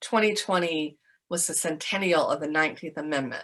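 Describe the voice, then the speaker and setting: In a Georgia accent, a woman with a fairly low pitch talks at a fairly quick pace. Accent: Southern American (Georgia). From Augusta, Georgia. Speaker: museum educator, presidential library education specialist. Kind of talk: interview answer.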